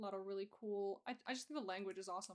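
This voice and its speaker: Against a quiet background, a woman speaks very fast at medium pitch with ordinary pitch variation. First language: Russian. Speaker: streamer and digital artist; streamer. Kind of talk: casual chat. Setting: live stream. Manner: halting. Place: home room.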